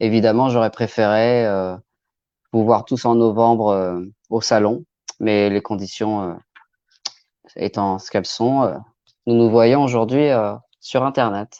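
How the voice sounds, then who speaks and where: A man speaks very slowly in a medium pitch with a dark, mellow tone. His intonation is fairly even, and he leaves long, frequent pauses. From Normandy, France. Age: 40s. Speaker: crime novelist. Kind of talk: live stream self-presentation. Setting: online live stream. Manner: hesitant, many filler sounds.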